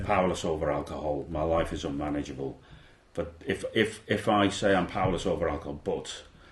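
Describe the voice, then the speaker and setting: This man's voice is very deep and low, and somewhat breathy. He keeps a fairly quick pace with ordinary pitch variation. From Liverpool. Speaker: former police officer. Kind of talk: interview answer.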